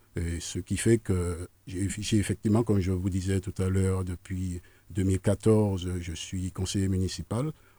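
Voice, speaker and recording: A man's very deep, low-pitched voice, dark and mellow in tone and somewhat breathy, at a very slow pace with a dry, close sound with no echo on a very clean recording with a silent background. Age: 60s. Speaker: political candidate. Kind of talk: radio interview. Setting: radio studio.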